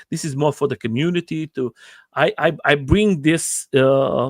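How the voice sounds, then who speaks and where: A man with a non-native accent at a fairly slow pace, ordinary pitch variation, dry, close sound with no echo, and a very clean recording with a silent background. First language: not English. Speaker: livestream host interviewing riders. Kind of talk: casual livestream interview. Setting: livestream. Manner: halting, many repetitions.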